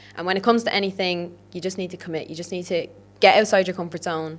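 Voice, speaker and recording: A woman speaks with an Irish accent. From Ireland. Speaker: podcast host, fitness coach. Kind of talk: solo podcast monologue. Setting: podcast studio. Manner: animated.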